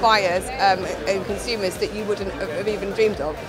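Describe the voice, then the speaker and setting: A woman talks at a fairly quick pace while music plays in the background. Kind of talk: interview answer. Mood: upbeat, positive. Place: hall.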